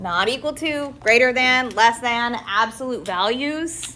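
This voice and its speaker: A woman with a high-pitched voice speaks in a raised, projected way and an animated tone. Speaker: high school math teacher. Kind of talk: classroom lecture.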